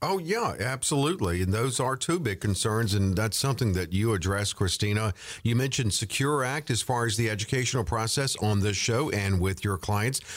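A man with a normal speaking voice talks at a fairly quick pace and medium pitch, with hardly any pauses. His intonation is lively and his loudness very even. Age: 60s. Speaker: radio co-host. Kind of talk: radio interview. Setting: studio.

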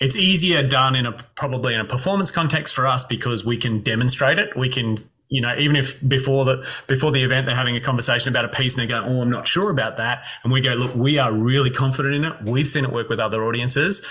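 A man with an Australian accent, medium pitch, at a very fast pace. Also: ordinary pitch variation. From Brisbane, Queensland, Australia. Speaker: speech and performance coach. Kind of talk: interview.

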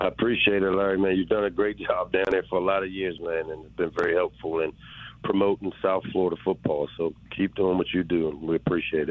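A man with an American accent speaks at a fairly quick pace. His pitch is very deep and low, and his intonation stays fairly even. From Maryland, US. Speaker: college football head coach. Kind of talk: radio interview.

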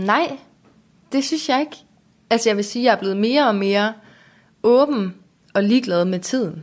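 A woman with a fairly high pitch, at a moderate pace, with long, frequent pauses. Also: lively intonation. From Denmark, Aarhus area (Lystrup). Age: 20s. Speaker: YouTuber. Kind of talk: casual interview.

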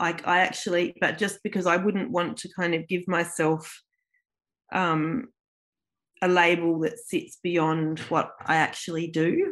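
Against a quiet background, a woman speaks at a fairly slow pace in a fairly low pitch with fairly even intonation. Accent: Australian. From South Australia, Adelaide. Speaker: artist and art lecturer. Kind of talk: interview.

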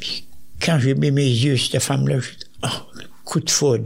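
A man's somewhat breathy, fairly high-pitched voice with a Quebec accent. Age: 90s. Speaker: retired soldier. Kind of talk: interview.

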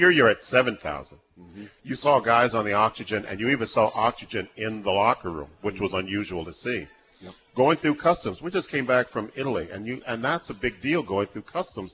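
At a fairly quick pace, a man talks at a medium pitch with lively intonation in a plain, everyday voice. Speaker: former football player, guest. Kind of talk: casual conversational interview. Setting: live event at a restaurant with audience.

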